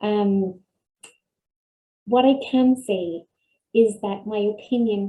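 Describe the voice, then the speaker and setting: Soft-spoken and somewhat breathy, a woman with an Irish accent talks at a fairly high pitch with a dark, mellow tone and fairly even intonation. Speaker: dietitian and nutrition researcher. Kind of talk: webinar talk. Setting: online webinar.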